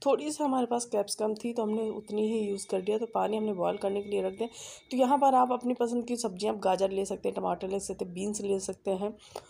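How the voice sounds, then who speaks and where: Her tone dark and mellow, a woman speaks at a medium pitch and a moderate pace with fairly even intonation. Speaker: cooking vlogger. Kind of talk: cooking tutorial.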